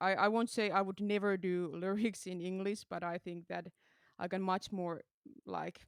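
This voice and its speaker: Recorded dry and close with no echo, a woman with a Finnish accent talks at a moderate pace in a flat monotone at a medium pitch. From Finland. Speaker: metal musician. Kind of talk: interview. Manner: halting.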